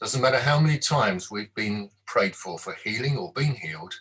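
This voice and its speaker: Using vocal fry, a man talks at a moderate pace in a medium pitch. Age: 60s. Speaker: devotional speaker. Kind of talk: devotional talk.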